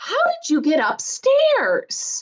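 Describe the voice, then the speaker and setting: A woman's squeaky, put-on character voice at an extremely high pitch with very wide pitch swings. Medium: read story. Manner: brisk, exclaiming.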